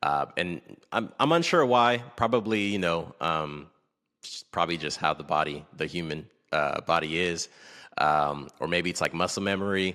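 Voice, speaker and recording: A man with a very deep, low voice and a bright, sharp tone speaks at a moderate pace with ordinary pitch variation on a very clean recording with a silent background. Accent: North American. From Togo and Kenya. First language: Akwaso. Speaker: podcast guest. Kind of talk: casual interview. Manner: halting, many fillers.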